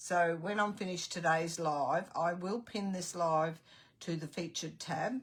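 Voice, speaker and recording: The delivery is fairly slow and somewhat breathy, with ordinary pitch variation. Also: woman, fairly low pitch for a woman. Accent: Australian. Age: 70s. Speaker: craft tutor. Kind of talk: live-stream chat and craft tutorial. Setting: live stream.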